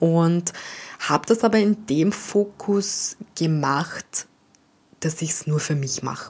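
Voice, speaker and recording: A woman with an Austrian accent, fairly low-pitched, very slow, with lively intonation. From Austria, St. Pölten (Lower Austria). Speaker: animal communicator and podcast host. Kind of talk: personal monologue.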